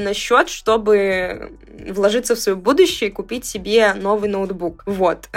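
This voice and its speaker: A woman speaks in a plain, everyday voice at a fairly slow pace. Her fairly high pitch shows ordinary variation. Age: 20s. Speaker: podcast co-host, university student. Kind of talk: casual chat.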